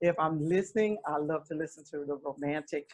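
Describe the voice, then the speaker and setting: A woman speaks at a moderate pace with an Alabama accent. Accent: Southern US (Alabama). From US South. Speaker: gospel singer. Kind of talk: casual chat.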